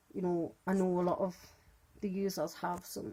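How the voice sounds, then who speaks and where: Here is a woman with a British accent. Her fairly low voice carries a dark, mellow tone. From UK. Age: 30s. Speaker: fan group admin. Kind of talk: casual vlog monologue. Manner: fast.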